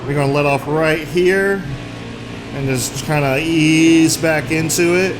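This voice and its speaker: Very slow speech with audible room echo and noticeable background noise. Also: man. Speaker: gaming YouTuber. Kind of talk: gameplay commentary. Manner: loud; animated.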